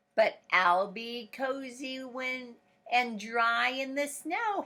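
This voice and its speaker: A female-sounding, high-pitched put-on character voice is raised and projected and comes at a very slow pace. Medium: read story.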